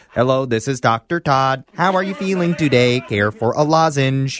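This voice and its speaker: Using a robotic, put-on character voice, a man speaks at a medium pitch. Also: moderate pace. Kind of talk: polite, caring bedside manner.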